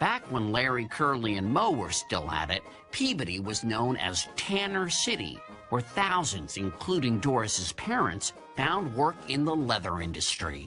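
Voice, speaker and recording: A medium-pitched male voice at a fairly slow pace, with very wide pitch swings, very even loudness and music in the background. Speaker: TV host. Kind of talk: narration and interview questions.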